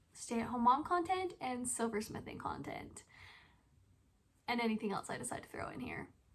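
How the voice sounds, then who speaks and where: This is a normal speaking voice moving at a moderate pace. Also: woman. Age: 20s. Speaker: stay-at-home mom and hobby silversmith vlogger. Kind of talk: casual vlog monologue.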